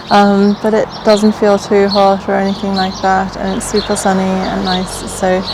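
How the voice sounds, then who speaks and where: Against noticeable background noise, a woman speaks in a relaxed tone at a medium pitch and moderate pace. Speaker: travel vlogger. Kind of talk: casual talk to camera. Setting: outdoors. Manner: relaxed, hesitant with fillers.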